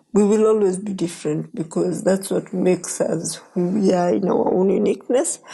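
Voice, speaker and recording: Moderate pace with hardly any pauses, ordinary pitch variation, and noticeable background noise. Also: woman, medium pitch for a woman. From Kenya. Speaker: pastor. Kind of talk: interview.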